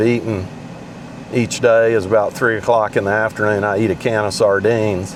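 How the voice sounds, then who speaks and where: Over noticeable background noise, a man talks at a moderate pace in a medium pitch with monotone, flat intonation. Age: 60s. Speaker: amateur golf vlogger. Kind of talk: casual vlog monologue. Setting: in a car. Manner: halting.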